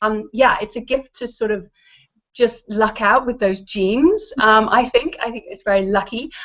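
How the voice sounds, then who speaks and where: A woman with an English accent speaks at a moderate pace in a fairly high pitch. Her intonation is fairly even, but her loudness swings widely. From England. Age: adult. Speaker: actress. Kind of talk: interview. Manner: hesitant, many fillers.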